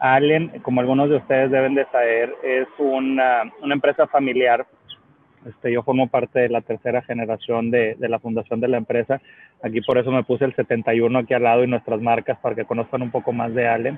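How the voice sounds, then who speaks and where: A man with a medium pitch talks at a fairly quick pace in a monotone, flat way. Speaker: business executive. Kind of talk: panel discussion. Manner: halting, many fillers and repetitions.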